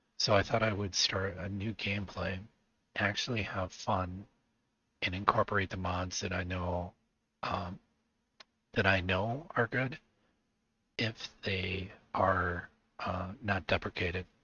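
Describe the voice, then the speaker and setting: A soft-spoken man talks at a fairly slow pace in a very deep, low voice, keeping a monotone, flat delivery broken by long, frequent pauses. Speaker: gaming streamer. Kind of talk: gameplay commentary. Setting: home, late at night. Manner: quiet, soft-spoken.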